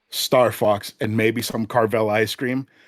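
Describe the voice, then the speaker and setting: Fairly low-pitched male speech, monotone and flat, at a fairly slow pace, in a dry, close, very clean recording with a silent background and no echo. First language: Spanish. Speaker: podcast guest, retro gaming enthusiast. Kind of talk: casual chat. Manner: many fillers and restarts.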